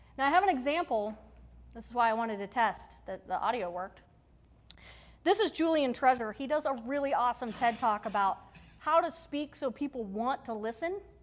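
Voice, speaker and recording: A woman's animated, high-pitched voice at a fairly quick pace, with lively intonation, big swings in loudness and a very clean recording against a silent background. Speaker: workshop presenter and teacher. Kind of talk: lecture. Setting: stage with audience. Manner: projects loudly.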